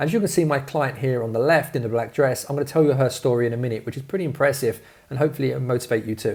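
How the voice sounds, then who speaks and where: Speaking very fast with a London accent, a man has a fairly high pitch, a dark, mellow tone, a somewhat breathy voice and ordinary pitch variation. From London, England. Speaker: fitness coach. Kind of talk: webinar sales presentation. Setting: online video training. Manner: energetic.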